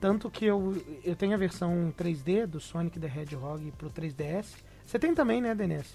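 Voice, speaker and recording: A man speaks with a dark, mellow tone. His pitch is high. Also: ordinary pitch variation, fairly slow pace. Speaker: podcast host. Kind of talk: casual chat.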